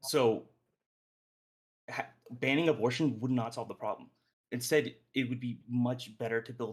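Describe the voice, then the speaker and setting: This man talks at a fairly slow pace, with a medium pitch and fairly even intonation. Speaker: podcast host leading discussion. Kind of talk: group debate discussion. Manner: halting, self-correcting.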